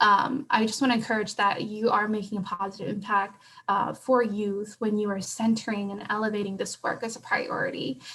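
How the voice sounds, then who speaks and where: A woman with a Southeast Asian accent, fairly high in pitch, at a moderate pace. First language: Hmong. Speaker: conference panelist. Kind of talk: conference presentation. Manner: frequent filler words.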